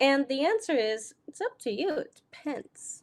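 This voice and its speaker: With very wide pitch swings, a woman speaks in an American accent. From Germany. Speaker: business coach. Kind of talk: live video talk. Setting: live video stream.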